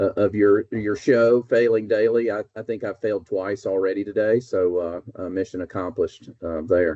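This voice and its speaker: In an Alabama accent, a man talks at a moderate pace with a fairly low pitch and fairly even intonation. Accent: Southern US (Alabama). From US South, North Alabama. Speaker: business executive. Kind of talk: casual interview. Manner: hesitant, many fillers.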